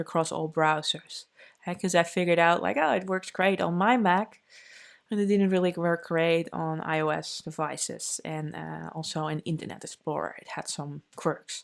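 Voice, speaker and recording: A woman with a Dutch accent, fairly low pitch, ordinary pitch variation, and a moderate pace, in a very clean recording with a silent background. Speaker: developer advocate. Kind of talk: conference talk. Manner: casual, many fillers.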